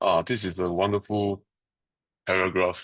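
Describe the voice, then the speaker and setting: A man speaks fairly slowly at a fairly low pitch with a non-native accent. His intonation is fairly even, and the background is quiet. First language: not English. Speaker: study group facilitator. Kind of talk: group discussion.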